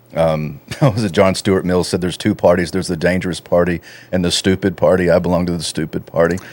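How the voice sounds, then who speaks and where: This man has a very deep, low pitch. He talks at a very fast pace. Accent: Texan. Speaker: researcher and radio host. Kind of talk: casual podcast conversation.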